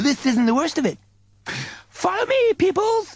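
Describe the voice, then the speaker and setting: A man does a put-on character voice at an extremely high pitch. His pitch swings very widely. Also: moderate pace. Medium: read story. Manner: breezy, slangy, hip.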